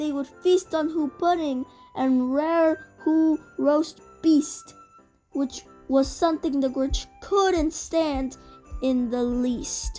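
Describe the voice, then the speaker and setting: Faint music sits in the background. A woman with a high pitch speaks at a very slow pace. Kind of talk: bedtime story. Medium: read story.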